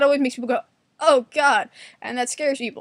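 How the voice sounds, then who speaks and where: A woman's high-pitched, animated voice at a very fast pace, with a New York accent. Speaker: vlogger. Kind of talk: casual monologue.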